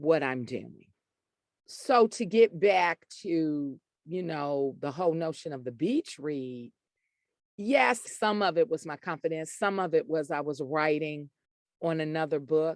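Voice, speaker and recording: A woman's very deep, low voice in a strong Southern US accent, fairly slow with lively intonation, dry and close with no echo over a quiet background. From US Deep South. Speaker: author and poet. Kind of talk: interview conversation.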